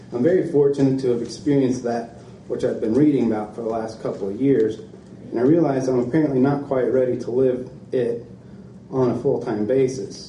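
A man talks at a fairly quick pace with fairly even intonation. Audible room echo and light background noise surround him. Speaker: reader at a book event. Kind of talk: reading aloud from a book. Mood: calm, reflective. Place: shop. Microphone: podium.

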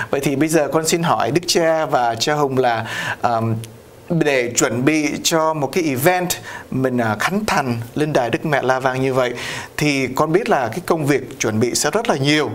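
Speaking at a fairly slow pace, a man uses a fairly high voice with ordinary pitch variation. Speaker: priest and TV host. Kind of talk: interview on community news show. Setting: video studio. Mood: warm, cheerful. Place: studio. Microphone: lapel.

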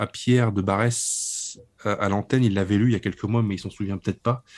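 The man's tone is dark and mellow. He keeps a fairly quick pace with fairly even intonation. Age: 30s. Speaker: book publisher and author. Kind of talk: interview on political book. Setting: remote call over internet.

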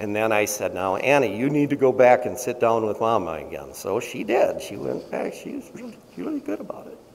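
A man talking at a fairly quick pace with hardly any pauses and big swings in loudness. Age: 50s. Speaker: pastor. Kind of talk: sermon. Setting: church. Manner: halting, with fillers and repeats. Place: church.

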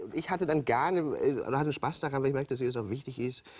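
The voice is somewhat breathy, with ordinary pitch variation, over a quiet background. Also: man. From Hamburg. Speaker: TV presenter and comedian. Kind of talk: talk show interview answer. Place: studio. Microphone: lapel.

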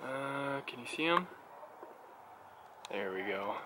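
With lively intonation, a man speaks in a dry sound with no echo while noticeable background noise runs underneath. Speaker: family vlogger. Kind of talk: casual vlog. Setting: outdoors. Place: street. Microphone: phone near.

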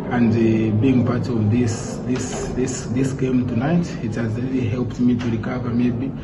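Loud background noise fills the recording. A man speaks over it at a fairly slow pace. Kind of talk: post-match interview answer. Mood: emotional, reflective. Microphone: phone near.

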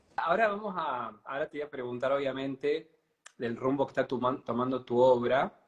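A man delivers his words at a moderate pace, his pitch varying in an ordinary way. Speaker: painter and interviewer; interviewer. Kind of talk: casual interview. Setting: live stream. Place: home room. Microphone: video call.

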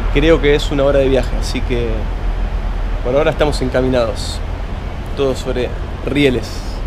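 A man speaks at a moderate pace while noticeable noise fills the background. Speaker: travel vlogger. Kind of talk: casual vlog chat. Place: station. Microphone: phone near.

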